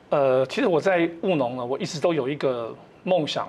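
A man's voice moves at a moderate speed, its pitch shifting in an ordinary way, with light noise in the background. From Taiwan, Amis, Hualien; Taiwan. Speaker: retired colonel and organic farmer; guest. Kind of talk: TV panel interview. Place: studio. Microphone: lapel.

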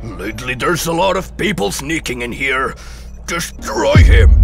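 A man talks at a moderate pace in a cartoonish character voice. Clear music plays in the background. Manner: gloating, commanding.

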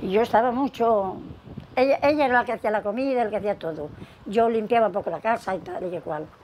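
A woman's fairly high voice at a very fast pace with lively intonation, over light background noise. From León, Spain; Spain. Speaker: retired domestic worker; interviewee. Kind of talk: oral history interview answer. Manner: hesitant, repetitive. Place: home room. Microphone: lapel.

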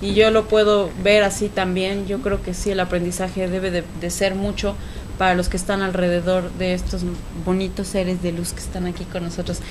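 Over noticeable background noise, a woman talks at a moderate pace with a medium pitch and flat, monotone intonation. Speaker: TV talk show host. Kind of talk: casual interview. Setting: studio.

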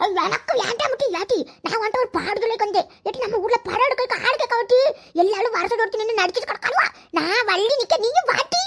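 Using a cartoonish character voice, a woman talks at a moderate pace and an extremely high pitch. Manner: animated, insistent.

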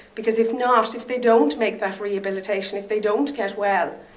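Here a woman speaks with an Irish accent. Her pace is moderate. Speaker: stroke survivor and advocate. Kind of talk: testimony. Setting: stage with audience.

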